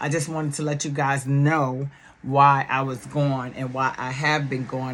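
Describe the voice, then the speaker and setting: With a New York accent, a woman talks at a fairly slow pace in a very deep, low pitch over noticeable background noise. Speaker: YouTube commentator. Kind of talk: casual vlog talk. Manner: loud; animated.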